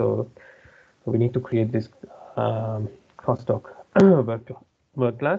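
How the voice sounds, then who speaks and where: Speaking very slowly with long, frequent pauses, a man uses a somewhat breathy, medium-pitched voice with ordinary pitch variation. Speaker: software consultant presenting a feature. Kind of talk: online tutorial demo. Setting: video call with screen sharing.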